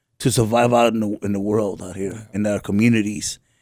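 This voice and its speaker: The sound is close and dry, without any echo. He, a man, speaks at a fairly quick pace. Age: 50s. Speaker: homeless mission program resident. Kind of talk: testimony. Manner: halting.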